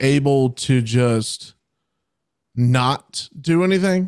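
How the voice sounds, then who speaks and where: On a very clean recording with a silent background, a man with a fairly high pitch speaks in a normal speaking voice. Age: 20s. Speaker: music podcast co-host. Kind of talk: casual chat.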